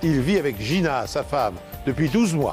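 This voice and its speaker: Music plays behind a man who speaks fairly slowly in a fairly high voice. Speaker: narrator. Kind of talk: true crime documentary narration.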